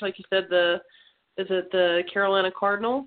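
A woman speaks in a normal speaking voice at medium pitch. Her intonation is fairly even and her pace moderate. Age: 30s. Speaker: women's tackle football player. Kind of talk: casual interview. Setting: internet radio show.

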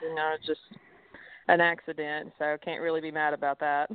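A woman with a Southern US accent speaks at a moderate pace and a fairly low pitch. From Alabama, raised in Tennessee. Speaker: professional golfer. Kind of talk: radio interview. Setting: phone call.

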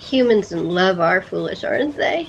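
A put-on character voice with vocal fry, lively intonation and a slow pace. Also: woman.

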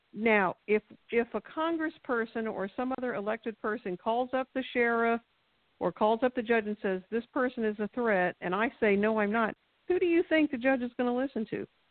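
This is a normal speaking voice. It goes at a moderate pace. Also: woman, fairly high pitch for a woman, ordinary pitch variation. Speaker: local party activist. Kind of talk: radio interview. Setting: phone call.

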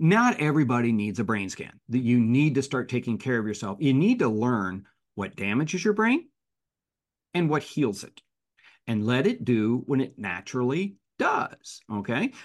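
A man speaks in an unremarkable speaking voice at a medium pitch and a moderate pace. The background is quiet. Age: 60s. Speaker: employment law attorney and author. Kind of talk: interview.

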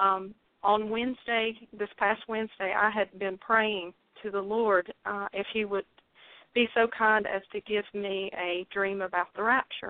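In a Southern US accent, the speech moves at a fairly slow pace with monotone, flat intonation. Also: woman, medium pitch for a woman. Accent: southern drawl. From North Carolina. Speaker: caller sharing a dream on a faith show. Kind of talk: testimony. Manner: halting.

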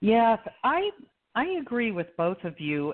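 At a very slow speed, a woman talks in an American accent. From New Jersey. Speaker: marketing business founder, sports fan. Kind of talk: casual chat.

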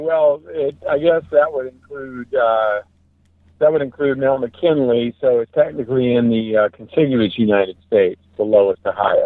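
This is an ordinary speaking voice at a moderate pace. Its pitch varies in an ordinary way. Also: man. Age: 50s. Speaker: ultramarathon runner. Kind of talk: casual chat.

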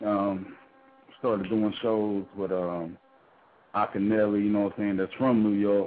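A man with a Southern US accent speaks at a fairly slow pace in a fairly low pitch, his intonation flat and monotone, with long pauses coming often. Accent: Southern US accent, country. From South Carolina. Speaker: rapper. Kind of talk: casual interview. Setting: phone call.

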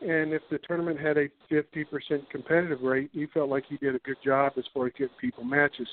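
An unremarkable speaking voice with an American accent, at a moderate pace. The pitch variation is ordinary. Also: man. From Virginia (Tidewater). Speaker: college tennis coach. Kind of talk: radio interview.

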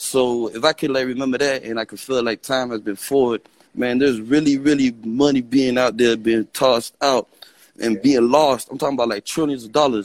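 A man's plain, everyday voice, medium in pitch, with fairly even intonation at a fairly quick pace. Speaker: caller. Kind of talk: call-in conversation. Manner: rambling, repeats words.

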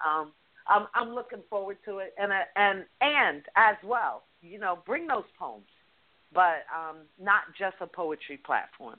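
With an unremarkable speaking voice, a woman at medium pitch talks fairly slowly, her intonation lively and her loudness swinging widely. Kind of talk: casual chat.

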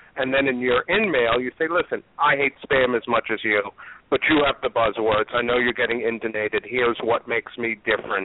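A man with a New York accent at a fairly quick pace, with ordinary pitch variation. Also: medium pitch for a man, very even loudness. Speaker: recruiter. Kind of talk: casual chat.

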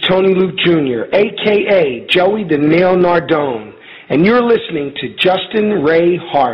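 A man speaks at a very slow pace in a high voice with lively intonation, over noticeable background noise. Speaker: morning radio show host. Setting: phone call from home dinner table. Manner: upbeat, punchy, energetic radio-announcer delivery.

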